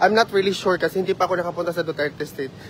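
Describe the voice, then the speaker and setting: The intonation stays fairly even. Noticeable background noise runs under the voice. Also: man. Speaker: vlogger. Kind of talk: casual vlog chat. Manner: loud.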